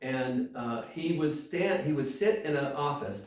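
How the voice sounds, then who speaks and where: Audible room echo surrounds a man with a fairly high voice. He speaks at a fairly slow pace. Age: 60s. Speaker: pastor. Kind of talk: sermon. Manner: halting.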